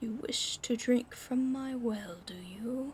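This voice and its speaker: Using a put-on, gruff character voice, a woman talks at a fairly slow pace with a high pitch over light background noise. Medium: read story. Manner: gruff, guarded.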